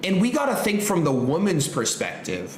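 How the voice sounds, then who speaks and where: An animated man with lively intonation, amid audible room echo and noticeable background noise. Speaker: trading educator. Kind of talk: tutorial.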